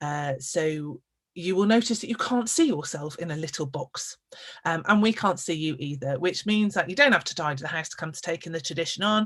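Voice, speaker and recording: In a normal speaking voice, a woman talks fairly quickly at a fairly low pitch, with lively intonation and big swings in loudness. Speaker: storyteller and podcast host. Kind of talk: live webinar host welcome.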